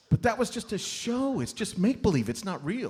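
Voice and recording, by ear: At a fairly quick pace, a man does a put-on character voice that sits high for a man, with big pitch swings, a husky, rough edge and a slightly mellow tone.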